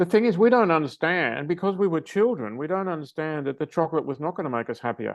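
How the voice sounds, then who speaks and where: Speaking at a very fast pace with hardly any pauses, a man with a fairly high pitch uses lively intonation against a quiet background. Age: 70s. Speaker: behavioral change specialist, former teacher. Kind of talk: interview.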